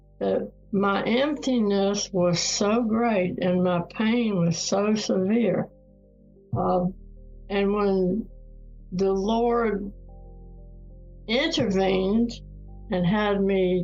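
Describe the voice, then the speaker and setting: Music plays behind a woman speaking at a medium pitch with ordinary pitch variation. She talks very slowly, with long, frequent pauses. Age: 80s+. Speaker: retired professor and author. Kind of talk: interview answer.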